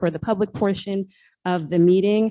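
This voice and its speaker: Against a quiet background, a woman with a dark, mellow tone and medium pitch speaks at a fairly quick pace with fairly even intonation, the sound dry and close with no echo. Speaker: parent speaking at public comment. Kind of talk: public comment. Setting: school auditorium meeting with microphone. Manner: soft-spoken; hesitant with fillers.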